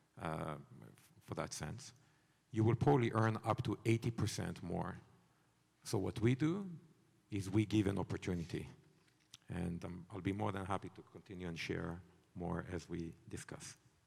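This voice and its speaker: A man's fairly low voice with a non-native accent, at a moderate pace with long, frequent pauses and ordinary pitch variation. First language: not English. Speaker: company CEO, panelist. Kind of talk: panel discussion.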